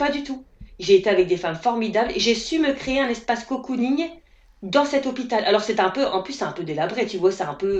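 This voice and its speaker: Noticeable background noise sits behind a woman with a northern French accent and a fairly high pitch. She talks at a very fast pace with very wide pitch swings. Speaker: naturopath. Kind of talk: interview answer. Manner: casual, hesitant.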